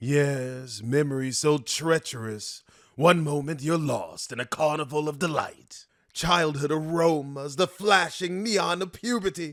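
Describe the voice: In a very clean recording with a silent background, a man uses a put-on character voice at a fairly high pitch and a fairly slow pace.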